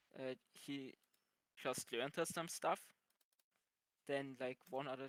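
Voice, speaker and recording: This man has a non-native accent and a medium pitch, with monotone, flat intonation. The sound is dry and close with no echo. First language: not English. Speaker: podcast panelist. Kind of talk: casual chat. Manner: halting.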